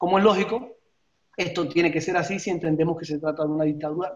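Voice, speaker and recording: Speaking very fast with a Cuban accent, a man has a high pitch and fairly even intonation. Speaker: panelist on political persecution; panelist. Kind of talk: prepared panel talk. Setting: panel forum. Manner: formal; halting. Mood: serious, denouncing. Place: home room. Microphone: webcam.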